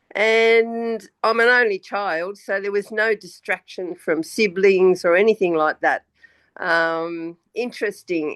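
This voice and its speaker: With an Australian accent, a woman speaks at a very slow pace and medium pitch with ordinary pitch variation. The sound is dry and close with no echo, over a quiet background. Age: 70s. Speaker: retired banker, spiritual guest. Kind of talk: casual interview.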